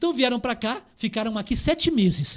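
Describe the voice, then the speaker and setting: Animated in tone, the speech has lively intonation and a fairly quick pace. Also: man. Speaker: historian. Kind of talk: podcast interview with live audience. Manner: fast.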